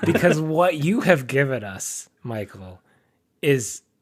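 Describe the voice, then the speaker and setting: Speaking at a very slow pace, a man with a fairly high pitch swings very widely up and down. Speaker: podcast co-host. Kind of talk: casual chat.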